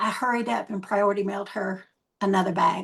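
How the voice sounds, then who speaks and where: This somewhat breathy voice moves at a moderate pace with ordinary pitch variation. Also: woman. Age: 70s. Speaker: network marketing leader. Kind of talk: testimony.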